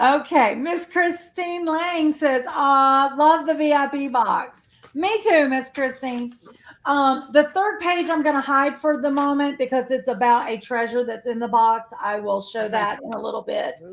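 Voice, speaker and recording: A woman speaks loudly at a fairly slow pace in a high pitch. Her intonation is lively. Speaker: quilt shop owner and live stream host. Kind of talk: casual live stream chat.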